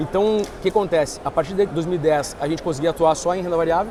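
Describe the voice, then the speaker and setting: A man with a high-pitched voice speaks with ordinary pitch variation over noticeable background noise. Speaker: investment firm partner. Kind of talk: interview. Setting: trade fair stand.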